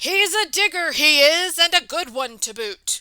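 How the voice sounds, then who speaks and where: Extremely high-pitched, raspy put-on character voice from a woman at a moderate pace. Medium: read story. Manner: hearty, boisterous.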